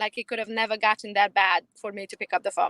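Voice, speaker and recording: A woman's bright, sharp tone with a Romanian accent, in a dry, close sound with no echo. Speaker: realtor. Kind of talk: interview.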